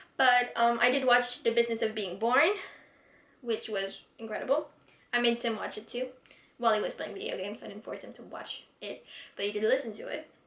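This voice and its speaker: A woman talks at a high pitch, her loudness swinging widely. Noticeable background noise runs underneath. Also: ordinary pitch variation, fairly quick pace. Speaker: vlogger. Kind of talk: casual vlog monologue. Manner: fast.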